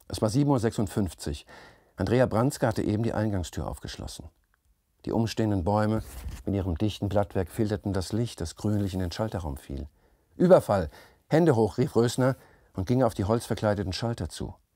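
A man with a fairly low, dark, mellow voice speaks at a moderate pace with lively intonation and long, frequent pauses. The recording is dry with no echo and a quiet background. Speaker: author reading his own novel. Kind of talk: literary audiobook reading, narrated third-person prose with voiced dialogue. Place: studio.

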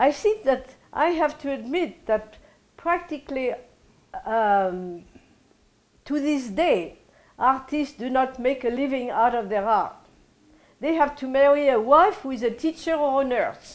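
Talking at a fairly slow pace with long, frequent pauses, a woman uses a high pitch and lively intonation. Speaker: interviewee. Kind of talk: interview answer. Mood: reflective, warm. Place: home room. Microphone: lapel.

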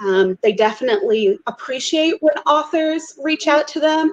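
This woman has a high pitch and an American accent. She speaks at a moderate pace. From US Midwest, St. Louis; US Midwest. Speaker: romance author. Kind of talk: panel discussion. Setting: video call. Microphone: video call.

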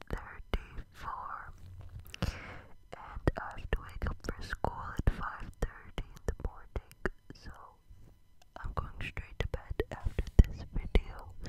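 Whispering and soft-spoken, a man talks at a very slow pace in a dry sound with no echo, with loud background noise. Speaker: ASMR creator. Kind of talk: soft-spoken ASMR chat. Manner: soft close-mic ASMR whisper. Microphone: studio mic.

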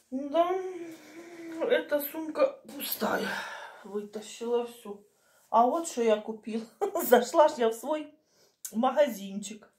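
A woman speaks at a high pitch and a very slow pace, with long, frequent pauses. Her loudness swings widely. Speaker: home vlogger. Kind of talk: casual vlog chat. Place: kitchen. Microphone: phone near.

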